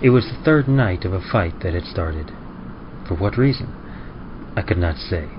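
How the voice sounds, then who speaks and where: Over noticeable background noise, a man with very deep, low pitch uses lively intonation and long, frequent pauses. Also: moderate pace. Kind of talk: first-person story narration of a tragic love story.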